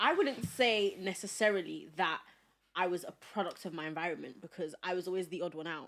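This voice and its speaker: A woman with a London accent talks at a fairly quick pace and a medium pitch. Her loudness swings widely, while her pitch varies an ordinary amount. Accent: London, Multicultural London English. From South London (Peckham), born in Nigeria. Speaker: podcast guest. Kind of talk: casual chat.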